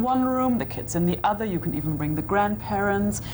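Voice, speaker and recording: Someone with a German accent speaks at a fairly quick pace, with audible room echo and noticeable background noise. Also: woman. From Germany. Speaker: tour guide. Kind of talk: interview.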